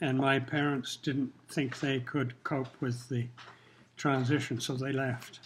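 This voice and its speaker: Somewhat breathy, a man speaks at medium pitch in a flat monotone. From Kenya. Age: 70s. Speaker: retired pilot, longtime resident. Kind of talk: interview. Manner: casual.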